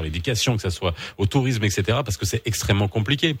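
A man speaks very fast in a fairly low pitch, his voice somewhat breathy and his intonation lively. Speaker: radio host. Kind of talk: morning radio talk show.

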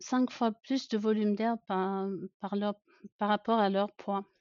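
A woman's fairly high voice unfolds at a very slow pace. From Germany, rural. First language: German (speaking French). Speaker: pediatrician. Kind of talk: podcast interview.

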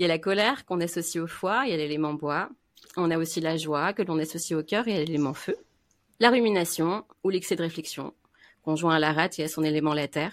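On a very clean recording with a silent background, a woman with a plain, everyday voice talks fairly quickly at a fairly low pitch with ordinary pitch variation. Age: 30s. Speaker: Chinese medicine practitioner. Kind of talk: casual chat.

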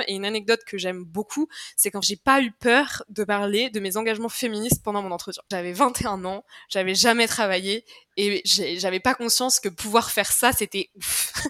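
A woman speaks at a moderate pace in a fairly high pitch with a bright, sharp tone and ordinary pitch variation. The sound is dry and close, with no echo. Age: 20s. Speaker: communications manager at a start-up. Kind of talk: casual interview chat.

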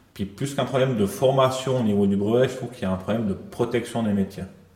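A man talks with noticeable background noise around him. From Switzerland, Valais. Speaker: property manager. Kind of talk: casual chat.

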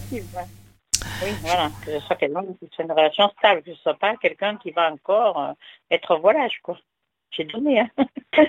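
A woman at medium pitch and moderate pace, with very wide pitch swings, big swings in loudness, and long, frequent pauses, in a dry, close sound without echo. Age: 60s. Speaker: caller. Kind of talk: phone-in call.

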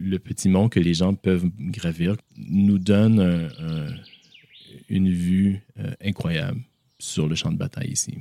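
A man's very deep, low voice, dark and mellow in tone, at a very slow pace with ordinary pitch variation, in a dry, close sound with no echo. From Canada (Toronto). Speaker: memorial project manager. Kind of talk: interview, guided site tour. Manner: halting, many repeated words and fillers.

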